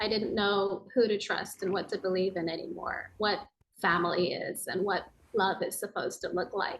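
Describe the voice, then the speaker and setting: A woman with an American accent speaks at a fairly slow pace and a medium pitch. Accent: sounds American. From Tokyo, Japan, international school. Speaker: yoga and meditation teacher, author. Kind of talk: podcast interview.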